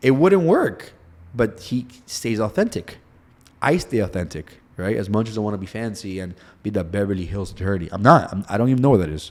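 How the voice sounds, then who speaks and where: A man with a Spanish accent talks at a fairly quick pace in an animated tone, using a fairly low pitch with ordinary pitch variation, on a very clean recording with a silent background. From Cuba. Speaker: personal injury attorney. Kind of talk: interview.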